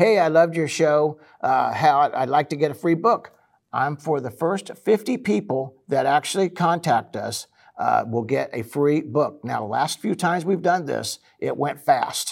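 Speaking at a fairly slow pace, a man uses a fairly high pitch with vocal fry. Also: lively intonation. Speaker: radio host. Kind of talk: casual interview.

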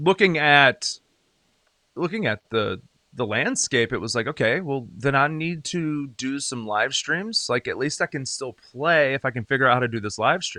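With an American accent, a man speaks at a moderate pace in a fairly high pitch, his bright, sharp tone carrying lively intonation and big swings in loudness, recorded dry and close with no echo against a quiet background. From upstate South Carolina (Greenville). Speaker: singer-songwriter and wrestling podcaster. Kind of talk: casual chat.

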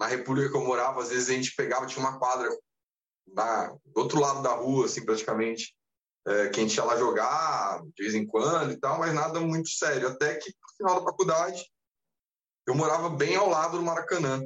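The man talks fairly quickly with a fairly high pitch. His is an unremarkable speaking voice. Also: ordinary pitch variation. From Brazil, interior of São Paulo state. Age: 30s. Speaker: university professor and amateur triathlete. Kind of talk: casual interview chat.

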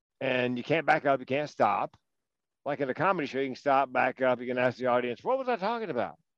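A man with an American accent, medium pitch, and a dry, close sound with no echo. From North Carolina. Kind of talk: casual political interview chat. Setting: phone call.

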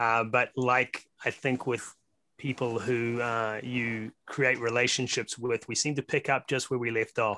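A man's medium-pitched voice with a New Zealand accent, bright and sharp in tone, monotone and flat, very even in loudness, at a fairly slow pace, in a very clean recording with a silent background

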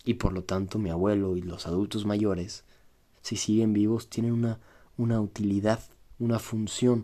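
A man with a Mexican accent speaks at a moderate pace with a fairly low pitch and a dark, mellow tone. His intonation is monotone and flat on a very clean recording with a silent background. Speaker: podcaster. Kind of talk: solo monologue, reflective. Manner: casual, conversational.

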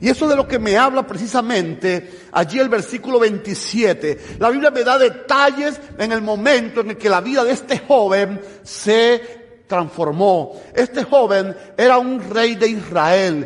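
Against noticeable background noise, a man with an extremely high pitch speaks at a fairly slow pace with ordinary pitch variation. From Cuba. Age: 50s. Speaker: preacher. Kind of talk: sermon.

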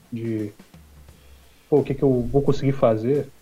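Somewhat breathy and dark, mellow in tone, a man's medium-pitched voice moves at a moderate pace with fairly even intonation. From Minas Gerais, Brazil. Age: 40s. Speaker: homebrewer and beer YouTuber. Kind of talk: casual chat.

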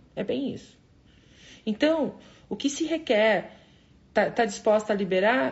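Here a woman speaks at a fairly slow pace. Her intonation is lively. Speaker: spiritual coach leading a morning live session. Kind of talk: motivational live stream. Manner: animated.

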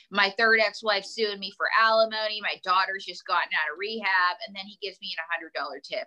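Speaking at a fairly quick pace with hardly any pauses, the voice shows ordinary pitch variation. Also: woman. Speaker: ventriloquist and comedian. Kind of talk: casual chat. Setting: video or phone call. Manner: animated, joking.

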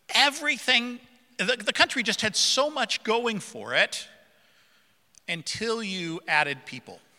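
A man with a high pitch projects a raised voice in a bright, sharp tone. His pitch swings very widely at a moderate pace. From central Africa. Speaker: preacher. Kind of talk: sermon. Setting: church. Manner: informal, humorous.

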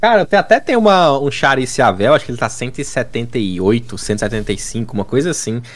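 A man with a normal speaking voice talks at a fairly slow pace with hardly any pauses, using lively intonation at a medium pitch. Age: 20s. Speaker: gaming content creator. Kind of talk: casual chat.

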